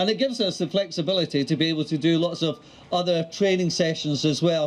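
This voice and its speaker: In a Scottish accent, a man speaks at a high pitch with ordinary pitch variation. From Scotland. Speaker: mayor. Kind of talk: public speech.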